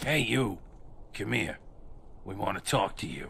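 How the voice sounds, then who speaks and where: A raspy, put-on character voice moves at a moderate pace over clear background noise. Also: man, fairly low pitch for a man. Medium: video game. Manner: sarcastic, hostile.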